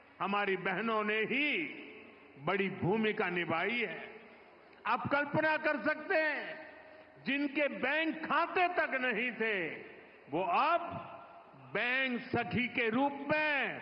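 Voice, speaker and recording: A man's extremely high-pitched voice moves with lively intonation and very even loudness, broken by long, frequent pauses. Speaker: politician, prime minister. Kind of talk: political speech at public rally.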